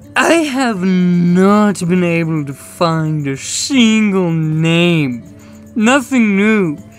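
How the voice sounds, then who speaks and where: Over clear music in the background, a woman's put-on character voice moves at a very slow pace with a medium pitch and lively intonation. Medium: comedy sketch.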